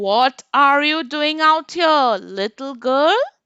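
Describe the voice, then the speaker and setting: Putting on a character voice, a woman cackles in a croaky, high-pitched voice at a very slow pace. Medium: read story. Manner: sly, put-on sweetness.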